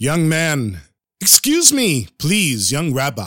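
A man puts on a booming character voice at a very slow pace. The recording is very clean with a silent background. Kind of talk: commanding, formal.

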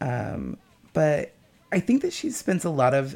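Behind the man speaking, background noise is noticeable. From small town. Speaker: guest discussing feminism. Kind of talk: casual chat. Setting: radio studio.

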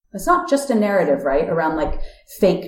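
Over noticeable background noise, a woman with an American accent speaks with very wide pitch swings. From United States. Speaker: nonprofit technology executive. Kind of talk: interview conversation.

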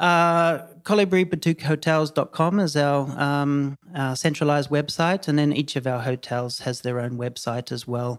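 Man with a New Zealand accent, fairly high-pitched, at a moderate pace with hardly any pauses and ordinary pitch variation, on a very clean recording with a silent background. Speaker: hotel company CEO. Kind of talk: interview conversation. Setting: on location in Tulum. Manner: hesitant, many fillers and repeats.

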